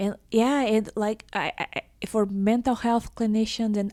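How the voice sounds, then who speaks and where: In a very clean recording with a silent background, a woman with a Portuguese accent speaks in a fairly high pitch and a dark, mellow tone. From Brazil. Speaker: podcast host and researcher. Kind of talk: interview. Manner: halting, many fillers.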